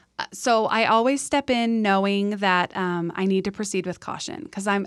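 With an American accent and an unremarkable speaking voice, a woman talks at a moderate pace and medium pitch with ordinary pitch variation, on a very clean recording with a silent background. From San Diego, California. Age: 30s. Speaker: fashion stylist. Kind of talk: casual interview chat.

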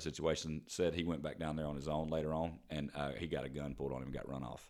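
A man with a Southern US accent talks very fast with hardly any pauses, his very deep, low voice carrying vocal fry and ordinary pitch variation. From South Carolina, Spartanburg area. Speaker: podcast co-host. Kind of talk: casual chat.

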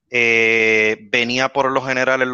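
A man's bright, sharp voice at a medium pitch, in monotone, flat intonation, with a dry, close sound and no echo. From western Puerto Rico (San Germán). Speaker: NASA climate scientist and lawyer, organization co-founder. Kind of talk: interview on live video show.

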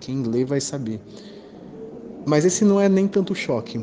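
With lively intonation and a fairly high pitch, a man talks fairly quickly while noticeable background noise carries on behind him. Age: 30s. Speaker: Portuguese teacher. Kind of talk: book recommendation.

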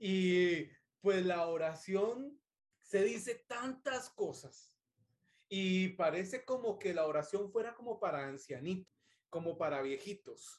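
At a very slow pace, a man with a high pitch speaks with lively intonation. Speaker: podcast host. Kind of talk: casual interview.

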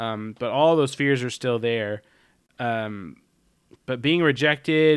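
At a moderate pace and with fairly even intonation, a man talks in a very clean recording with a silent background. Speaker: podcast co-host. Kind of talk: casual chat recapping a TV episode.

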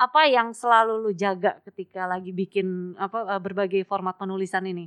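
A woman speaks in a normal speaking voice at a moderate pace with fairly even intonation, the sound dry and close with no echo against a quiet background. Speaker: podcast host. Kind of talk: casual interview. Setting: in-person recording, both wearing masks. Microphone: muffled by double-layer face mask.

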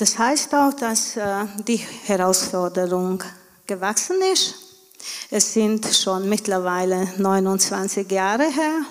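Through audible room echo and noticeable background noise, a woman speaks very slowly in a medium pitch with ordinary pitch variation and long, frequent pauses. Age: 40s. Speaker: stay-at-home mother of a large family. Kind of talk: church interview testimony.

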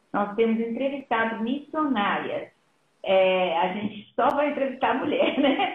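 Here is a woman with a plain, everyday voice. Her pitch is fairly high and her pace moderate. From Brazil, raised in São Paulo (born in Minas Gerais). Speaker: missionary and nurse. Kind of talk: testimony in a live interview.

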